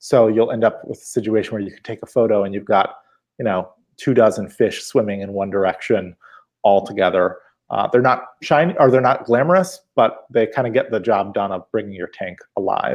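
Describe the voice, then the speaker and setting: Over a quiet background, a man at a medium pitch talks at a fairly quick pace, with ordinary pitch variation and big swings in loudness. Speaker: aquascaper and YouTube creator. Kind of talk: casual chat. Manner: soft-spoken.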